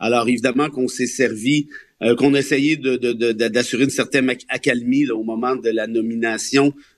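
A man speaks at medium pitch. He has a normal speaking voice, with a quiet background. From Quebec, Laurentides (Mont-Laurier). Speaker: columnist and lawyer. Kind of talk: radio panel discussion.

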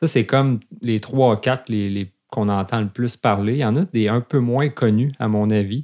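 In a Quebec accent, a man with a dark, mellow tone and medium pitch speaks at a moderate pace with ordinary pitch variation, in a very clean recording with a silent background. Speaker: fly fishing instructor and podcast co-host. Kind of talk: casual chat.

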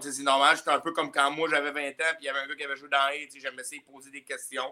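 A man talks in a Quebec accent at a fairly high pitch, with a bright, sharp tone. His intonation is monotone and flat. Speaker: hockey player. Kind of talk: casual chat.

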